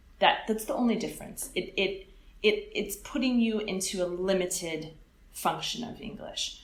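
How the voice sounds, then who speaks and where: A woman with an American accent speaks at a moderate pace in a fairly high pitch, somewhat breathy. Her pitch varies in an ordinary way, and there is audible room echo. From California. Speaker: English teacher. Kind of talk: interview.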